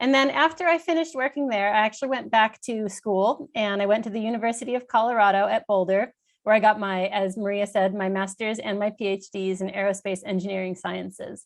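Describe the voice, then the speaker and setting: With an American accent, a woman talks at a medium pitch and a fairly quick pace, with hardly any pauses. Her pitch variation is ordinary, and the background is quiet. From Pennsylvania, US. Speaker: interplanetary navigator, panel speaker. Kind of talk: conference presentation. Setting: conference panel.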